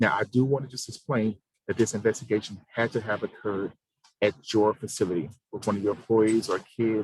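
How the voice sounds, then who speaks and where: Somewhat breathy and fairly low in pitch, a man speaks at a very fast pace with fairly even intonation. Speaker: government program administrator. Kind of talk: informational briefing on a provider call.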